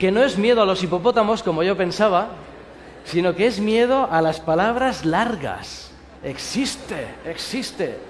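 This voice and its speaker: With a Spanish accent, a man speaks at a fairly slow pace in a high voice with ordinary pitch variation. Audible room echo and noticeable background noise surround him. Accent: Spanish (Spain). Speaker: pastor. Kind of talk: sermon.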